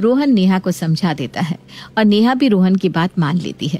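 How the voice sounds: A woman speaks in a slightly mellow tone with lively intonation.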